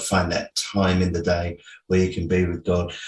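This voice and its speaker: A man with a very deep, low pitch talks in an English accent. His voice is somewhat breathy over a quiet background. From England. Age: 60s. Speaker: pastor and author. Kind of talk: interview. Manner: hesitant, many fillers.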